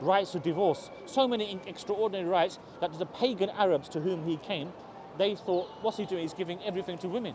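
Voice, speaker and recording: Against noticeable background noise, a man talks at a very fast pace in a high pitch, with ordinary pitch variation. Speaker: street preacher. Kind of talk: street debate.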